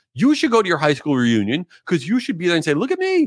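A man talks very fast in an animated tone with very wide pitch swings. The recording is very clean, dry and close, with a silent background and no echo. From New York and Florida. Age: 40s. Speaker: podcast host. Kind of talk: solo podcast monologue.

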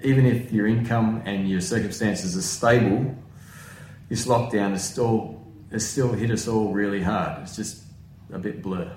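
Audible room echo surrounds a man speaking at a moderate pace with a fairly low pitch and ordinary pitch variation. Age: 40s. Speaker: pastor. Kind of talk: sermon. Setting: at home.

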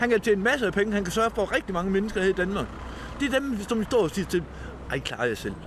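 The man talks at a very fast pace. His pitch is high, with ordinary variation. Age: 50s. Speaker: homeless man. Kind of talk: interview testimony.

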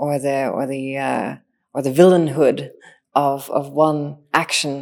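A woman with a Northern Irish accent speaks in a very deep, low pitch with monotone, flat intonation. The recording is very clean, with a silent background. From Northern Ireland. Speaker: machine intelligence engineer. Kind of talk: interview. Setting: studio.

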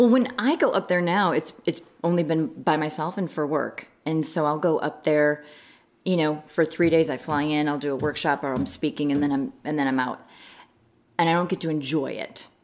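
In an American accent, a woman with a very deep, low pitch speaks with ordinary pitch variation. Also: moderate pace. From US Midwest, Chicago suburbs, Illinois. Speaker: pageant director. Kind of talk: casual interview chat.

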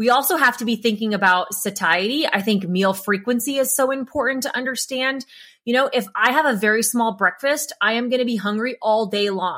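A woman with a fairly high, bright, sharp voice talks fairly quickly with hardly any pauses and ordinary pitch variation on a very clean recording with a silent background. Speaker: carnivore diet content creator. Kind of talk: casual podcast discussion. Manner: fast.

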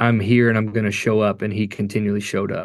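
A man speaks in a Kentucky accent. His voice sits at a fairly low pitch. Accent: Kentucky Southern US. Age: 40s. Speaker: worship pastor and singer. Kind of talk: interview testimony. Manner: casual, animated.

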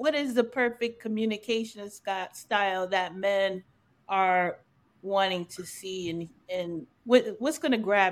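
In a very clean recording with a silent background, a woman with a plain, everyday voice speaks at a fairly slow pace and medium pitch, with ordinary pitch variation and big swings in loudness. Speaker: podcast host. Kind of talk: casual conversational podcast intro and moderating.

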